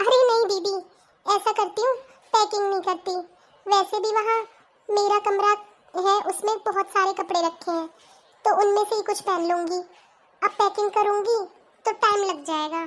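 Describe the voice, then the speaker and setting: A woman's cartoonish character voice at an extremely high pitch, with fairly even intonation, a moderate pace, and long, frequent pauses. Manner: soft, polite.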